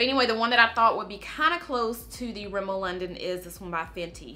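A woman speaks with ordinary pitch variation. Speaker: beauty YouTuber. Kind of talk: tutorial. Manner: casual, chatty with filler words. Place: home room.

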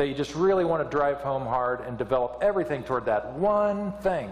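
A man speaks at a fairly quick pace with lively intonation. Audible room echo surrounds the recording. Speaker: pastor. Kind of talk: sermon. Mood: warm, humorous. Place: church.

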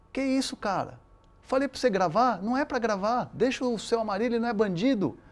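This man's intonation is lively as he moves along at a fairly quick pace. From Brazil, São Paulo, raised by Chilean parents. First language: Spanish (speaking Portuguese). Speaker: sports reporter. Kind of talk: interview. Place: studio. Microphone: lapel.

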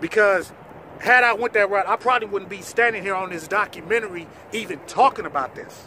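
A man's raised, projected voice at a high pitch and fairly quick pace, dry with no echo, over light background noise. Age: 40s. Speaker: documentary subject. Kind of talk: personal testimony. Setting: in front of cameras. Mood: earnest, grateful, defiant. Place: open country.

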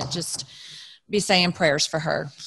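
Over a quiet background, a woman with a fairly low pitch speaks at a moderate pace with fairly even intonation. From Texas, Plano; Texas. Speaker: racing driver's wife; podcast guest. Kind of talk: storytelling in casual chat. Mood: emotional, heartfelt. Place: home room. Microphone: studio mic.

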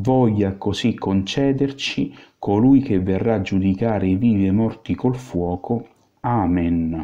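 Speaking at a fairly slow pace, a man keeps very even loudness and ordinary pitch variation. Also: fairly low pitch for a man. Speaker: exorcist priest. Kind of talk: fervent prayer of liberation, invocation and litany, commanding the virus in God's name. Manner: solemn, intense, commanding, emphatic and ardent; earnest, slow and rhythmic in the litany.

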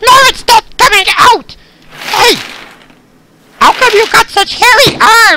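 A squeaky, cartoonish character voice at an extremely high pitch moves at a fairly slow pace, broken by long, frequent pauses. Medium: puppet. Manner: excitable, frantic.

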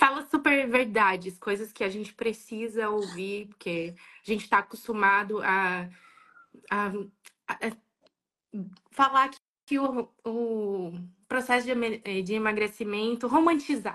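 Against a quiet background, a woman with a fairly high pitch and a bright, sharp tone speaks at a very slow pace with ordinary pitch variation and long, frequent pauses. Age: 20s. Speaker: viewer on live call. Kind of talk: personal testimony. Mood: earnest, personal. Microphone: video call.

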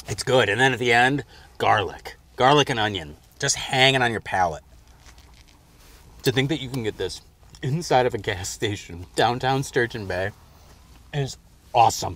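A man's bright, sharp voice with vocal fry, ordinary pitch variation, long, frequent pauses, and a dry sound with no echo. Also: moderate pace. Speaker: food show host. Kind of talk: food tasting commentary. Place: car.

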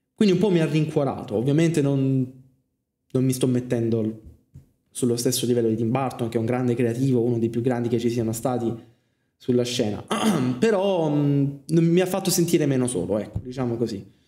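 Amid audible room echo, a man with a dark, mellow tone talks at a fairly quick pace with ordinary pitch variation and long, frequent pauses. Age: 20s. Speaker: film student and streamer; streamer. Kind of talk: casual monologue. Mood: reflective, personal. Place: home room.

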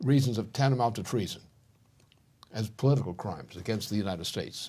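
Somewhat breathy, a man talks at a fairly quick pace with lively intonation. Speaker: political commentator. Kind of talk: interview answer. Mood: stern, forceful condemnation. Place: studio.

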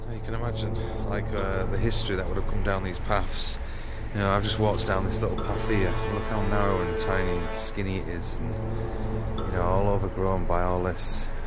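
A fairly quick pace over background music, with a dry sound and no echo. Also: man. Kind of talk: casual vlog chat. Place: open country. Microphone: phone near.

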